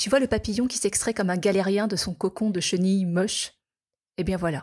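A woman's somewhat breathy voice comes through on a very clean recording with a silent background. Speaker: podcast host and kinesiology therapist. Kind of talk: personal monologue. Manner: reflective.

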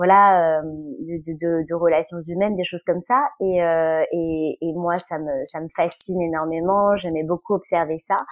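Talking at a fairly slow pace, this woman shows ordinary pitch variation. The background is silent and the recording very clean. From France. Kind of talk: interview. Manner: halting, many filler words.

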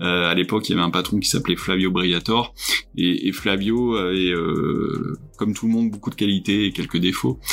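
A man speaks with a very deep, low pitch and fairly even intonation. His pace is moderate and his loudness very even. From Burgundy, France. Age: 50s. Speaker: motorsport executive. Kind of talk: interview. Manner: hesitant, many fillers.

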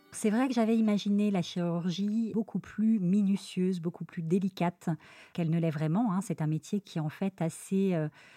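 A woman speaks at medium pitch with a dark, mellow tone. The sound is dry and close, with no echo. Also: ordinary pitch variation, moderate pace. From Lyon, France. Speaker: surgeon. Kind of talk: interview.

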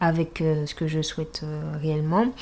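Woman with a very deep, low pitch and a dark, mellow, somewhat breathy tone, on a very clean recording with a silent background. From Martinique. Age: 20s. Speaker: dance teacher. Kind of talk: casual interview. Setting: at home.

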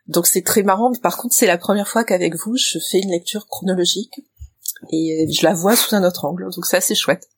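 A woman speaks at a fairly quick pace with medium pitch and ordinary pitch variation, in a plain, everyday voice. The sound is dry and close, with no echo. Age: 50s. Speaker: librarian, podcast guest. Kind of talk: casual chat.

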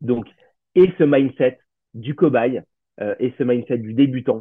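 A man is talking. The pitch of his voice is medium. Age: 40s. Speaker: meditation teacher and salaried employee. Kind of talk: casual interview.

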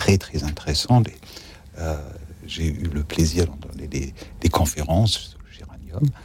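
At a fairly slow pace, a man speaks with a very deep, low pitch. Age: 50s. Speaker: religious brother. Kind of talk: radio talk show.

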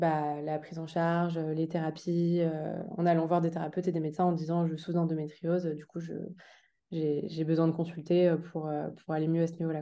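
A woman's dark, mellow voice, fairly low in pitch, monotone and flat in intonation, at a moderate pace. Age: 20s. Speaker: endometriosis awareness advocate, association co-founder. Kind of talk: interview. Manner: halting, many fillers.

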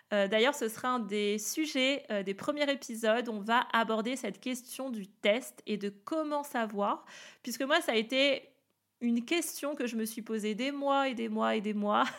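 Her voice is fairly high, with ordinary pitch variation. The woman speaks at a fairly slow pace. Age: 30s. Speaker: wellness coach. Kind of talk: podcast monologue. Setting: home office. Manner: enthusiastic.

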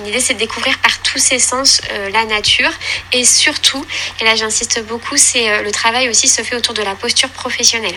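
Noticeable background noise runs under a woman who speaks at a moderate pace, her fairly high voice kept fairly even in intonation. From Normandy, Caen. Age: 30s. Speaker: early childhood educator. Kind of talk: interview. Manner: halting.

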